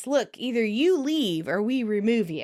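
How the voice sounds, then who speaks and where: A woman doing a put-on character voice. Her pitch sits fairly high, and she talks at a moderate pace. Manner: tough, forced hard.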